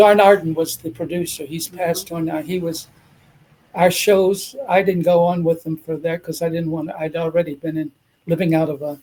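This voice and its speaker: At a moderate pace, a man with an American accent speaks in a high pitch with a dark, mellow tone and fairly even intonation. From US, Washington DC. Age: 80s+. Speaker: retired dancer and actor. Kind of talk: casual interview. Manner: halting.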